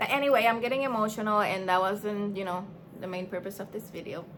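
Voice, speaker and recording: A woman speaks with a non-native accent at a moderate pace. Her intonation is lively. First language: not English. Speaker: small business owner and vlogger. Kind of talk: casual vlog talk to camera. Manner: hesitant, filler-heavy.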